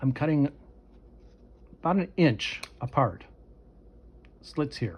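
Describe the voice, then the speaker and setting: This man speaks with vocal fry. His intonation is lively. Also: fairly slow pace. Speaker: crafting tutorial creator. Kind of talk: tutorial. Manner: halting.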